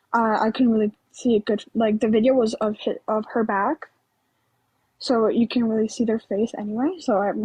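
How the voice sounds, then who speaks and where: A woman's fairly high, somewhat breathy voice with a dark, mellow tone, fairly even intonation and a moderate pace, dry and close with no echo. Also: very even loudness. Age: 19. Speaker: caller on a live stream. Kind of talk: casual live-stream discussion. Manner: shaky voice; halting, many fillers.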